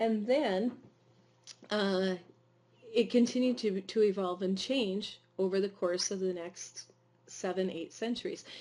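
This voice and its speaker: Her voice has a dark, mellow tone at a medium pitch for a woman. She talks at a moderate pace with ordinary pitch variation. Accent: Midwestern. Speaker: teacher. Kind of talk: lecture. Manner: hesitant, many fillers.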